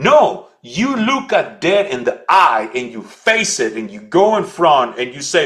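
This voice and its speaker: A man's animated, high voice in a Spanish accent, with very wide pitch swings at a fairly slow pace. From El Salvador. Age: 40s. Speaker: leadership coach and speaker. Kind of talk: podcast interview. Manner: halting.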